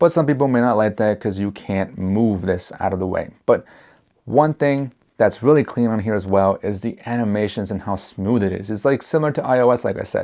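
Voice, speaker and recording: Over a quiet background, a man talks at a fairly quick pace. His medium-pitched voice has a dark, mellow tone. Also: ordinary pitch variation. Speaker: tech reviewer. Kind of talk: product review tutorial. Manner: casual, mixes up words.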